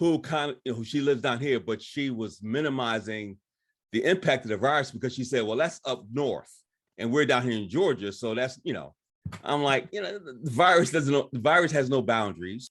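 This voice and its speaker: A man with a normal speaking voice moves at a fairly quick pace, his medium pitch carrying lively intonation over a quiet background. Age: 60s. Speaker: counselor. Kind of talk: panel discussion.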